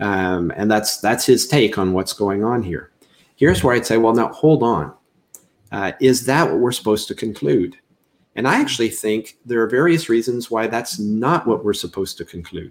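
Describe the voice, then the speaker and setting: The speaker is a man with a Canadian accent. His pitch shows ordinary variation. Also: medium pitch for a man, moderate pace. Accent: Canadian, audible on the 'ou' diphthong. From Canada. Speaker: seminary professor. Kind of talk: interview.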